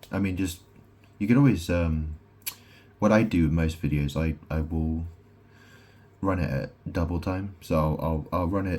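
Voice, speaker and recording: Somewhat breathy, with a dark, mellow tone and very deep, low pitch, a man speaks with ordinary pitch variation and long, frequent pauses. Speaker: vlogger. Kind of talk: casual monologue. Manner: slow; halting.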